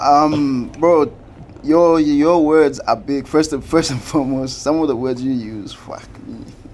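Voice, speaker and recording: Noticeable background noise sits under a man's fairly high voice, which has big swings in loudness. He talks at a fairly slow pace with fairly even intonation. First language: not English. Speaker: podcast host. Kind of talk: podcast interview. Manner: casual.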